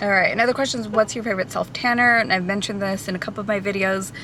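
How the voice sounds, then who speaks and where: A woman with audible room echo and noticeable background noise. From born in Portugal, Portuguese parents. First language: Portuguese. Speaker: hairstylist and vlogger. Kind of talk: casual Q&A vlog. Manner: casual, many fillers.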